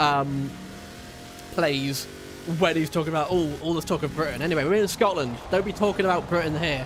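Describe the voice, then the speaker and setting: Amid noticeable background noise, a man talks at a fairly quick pace with long, frequent pauses, a fairly high pitch and ordinary pitch variation. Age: 20s. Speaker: video game streamer. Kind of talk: casual chat. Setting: livestream.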